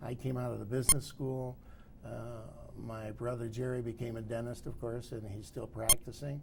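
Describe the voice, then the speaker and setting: In an American accent, a man of medium pitch speaks at a moderate pace with fairly even intonation, with audible room echo and noticeable background noise. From Detroit, Michigan, US. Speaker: oral history interviewee, retired business owner. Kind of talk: oral history interview. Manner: halting, many fillers.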